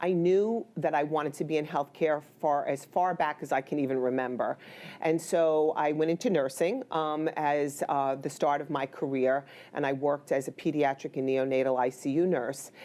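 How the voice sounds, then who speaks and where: A woman's very deep, low voice with a New York accent, dark and mellow in tone, fairly even in intonation, very even in loudness, at a moderate pace. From New York, the Bronx. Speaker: healthcare executive, former nurse. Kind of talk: interview.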